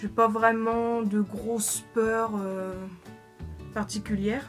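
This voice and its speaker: Over music in the background, a woman with a fairly high pitch speaks in a monotone, flat intonation. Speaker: makeup YouTuber. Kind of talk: casual talk to camera. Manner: hesitant, stammering.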